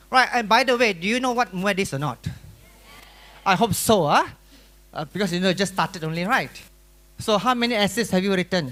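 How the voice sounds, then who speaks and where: This man has a high pitch, a bright, sharp and animated tone, and lively intonation, moving at a fairly quick pace broken by long, frequent pauses. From Malaysia (rural Malacca). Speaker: secondary school teacher and exam workshop speaker. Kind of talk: workshop lecture.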